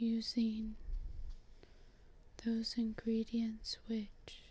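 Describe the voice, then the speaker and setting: Everything is soft-spoken. The words come very slowly. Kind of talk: ASMR role play reading, apothecary advice. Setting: close-mic audio only recording. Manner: soft-spoken, slow, relaxing.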